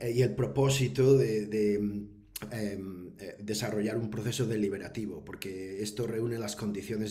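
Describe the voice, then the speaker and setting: The voice has a dark, mellow tone, somewhat breathy, with fairly even intonation at a moderate pace. Audible room echo fills the recording. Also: man. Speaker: professor. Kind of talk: webinar talk. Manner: hesitant, many fillers.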